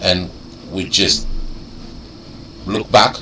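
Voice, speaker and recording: Amid noticeable background noise and audible room echo, a man with a non-native accent talks with very wide pitch swings. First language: not English. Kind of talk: explanatory video message. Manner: halting, searching for words.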